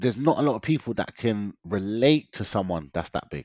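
Speaking at a fairly quick pace, a man in a London accent uses a fairly low pitch. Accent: London multicultural English. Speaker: diet consultant, weight loss coach. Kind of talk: casual interview chat, personal story. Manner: animated, energetic, jokey.

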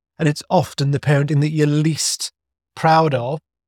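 Somewhat breathy, fairly high male voice at a moderate pace, dry and close with no echo, on a very clean recording with a silent background. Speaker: podcast host. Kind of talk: casual interview chat.

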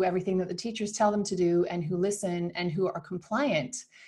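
With a Canadian accent, a woman speaks at a medium pitch with ordinary pitch variation, her tone dark and mellow and somewhat breathy. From Canada. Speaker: founder of a motherhood community. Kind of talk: interview.

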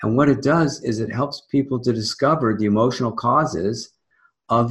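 A somewhat breathy man's voice at medium pitch. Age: 70s. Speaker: energy healing teacher and author. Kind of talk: interview.

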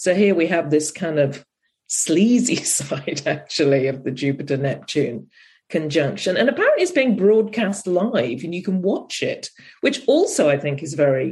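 A somewhat breathy voice in a British accent, with lively intonation at a moderate pace. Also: woman. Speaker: astrologer podcast host. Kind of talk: casual chat.

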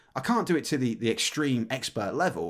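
A man with an English accent, vocal fry, very wide pitch swings and a very fast pace, on a very clean recording with a silent background. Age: 40s. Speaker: podcast host. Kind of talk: casual chat.

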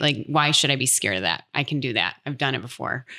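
A woman with a Midwestern American accent and vocal fry, at a fairly quick pace, on a very clean recording with a silent background. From US Midwest. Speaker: speech pathologist. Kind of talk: casual interview.

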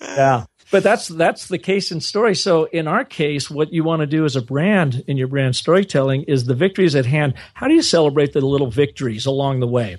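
A man with an American accent speaks in a normal speaking voice, his pitch fairly high. He talks at a fairly quick pace with lively intonation. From US Pacific Northwest, Seattle area. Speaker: brand storyteller and agency owner. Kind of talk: interview.

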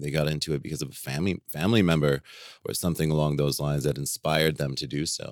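Very deep and low with vocal fry, a man's voice races at a very fast pace in a dry, close sound with no echo. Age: 40s. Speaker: cannabis patient experience agent. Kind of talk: casual interview.

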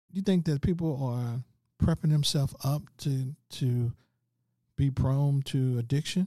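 Speaking with an American accent, a man with a fairly high pitch and a somewhat breathy, dark, mellow tone talks at a fairly slow pace with ordinary pitch variation and very even loudness, on a very clean recording with a silent background. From St. Louis, Missouri. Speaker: internet radio host. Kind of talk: casual interview chat.

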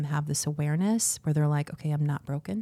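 In a very clean recording with a silent background, a woman speaks with a very deep, low pitch and a dark, mellow tone. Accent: American. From Arizona, Phoenix area. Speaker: matchmaker. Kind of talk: casual interview.

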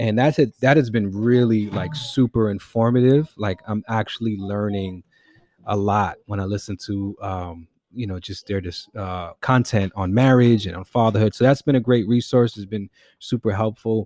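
A man with a New York accent, dark, mellow tone, ordinary pitch variation and big swings in loudness, on a very clean recording with a silent background and a dry, close sound with no echo. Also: fairly low pitch for a man, moderate pace. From New York City, the Bronx. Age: 30s. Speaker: hip-hop artist and musician. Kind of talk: casual chat.

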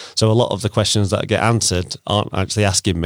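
A man talks at a very fast pace with a Yorkshire accent. The recording is very clean and dry, close-miked with no echo against a silent background. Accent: Sheffield Yorkshire English. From Sheffield, South Yorkshire, England. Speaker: community social media account runner. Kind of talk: casual chat. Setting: studio.

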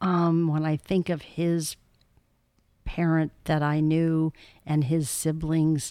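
A woman with an American accent, fairly low in pitch with a dark, mellow tone, at a very slow pace, on a very clean recording with a silent background. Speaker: podcast guest, host's mother. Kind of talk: casual interview chat.

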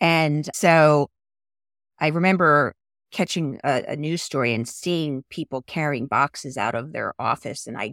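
In an American accent, a woman speaks at a very deep, low pitch with vocal fry, on a very clean, dry, close recording with no echo and a silent background. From US Northeast, Philadelphia suburbs. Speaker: executive director of an industry network. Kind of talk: interview conversation.

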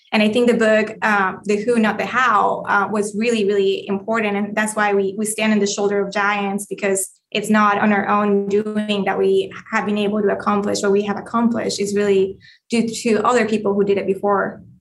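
A woman of medium pitch with a Colombian accent, monotone and flat, at a moderate pace with very even loudness, music in the background. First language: Spanish. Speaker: real estate investor, former management consultant. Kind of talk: interview.

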